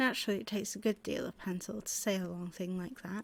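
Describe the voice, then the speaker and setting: A soft-spoken woman with a British accent, medium pitch and a fairly quick pace. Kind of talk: bedtime story reading.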